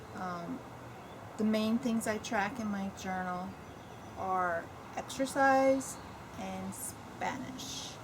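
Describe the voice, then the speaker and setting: Audible room echo surrounds the voice. A woman speaks with an American accent. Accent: between New York and Virginia. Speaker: lifestyle vlogger. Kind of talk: unboxing video, casual monologue. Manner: casual, hesitant with fillers.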